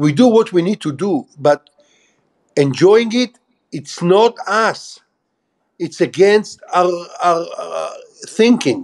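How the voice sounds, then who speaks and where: A high-pitched man in an Israeli accent, very slow, with lively intonation and long, frequent pauses. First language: Hebrew. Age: 60s. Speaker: former army officer. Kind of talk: interview.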